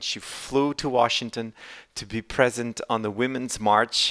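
A man with a Portuguese accent and a medium pitch speaks at a fairly slow pace in a monotone, flat intonation. The recording is very clean with a silent background, and the sound is dry and close with no echo. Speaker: podcast host for a political party. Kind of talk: casual interview.

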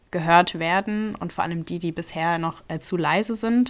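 An unremarkable speaking voice belongs to this woman. She speaks at a moderate pace with a fairly low pitch. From Rhineland-Palatinate, Ludwigshafen. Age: 20s. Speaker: podcast host, politics student. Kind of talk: casual chat.

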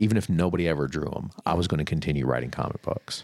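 This man talks at a very fast pace in a very deep, low voice with vocal fry and ordinary pitch variation. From Florida. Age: 30s. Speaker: creative professional, former bookstore manager. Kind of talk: casual interview chat.

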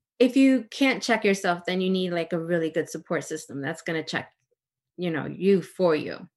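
A plain, everyday voice with an American accent speaks at a moderate pace with lively intonation over a quiet background. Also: woman, fairly low pitch for a woman. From US, Dominican family. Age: 30s. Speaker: interior designer and property manager. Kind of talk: casual interview.

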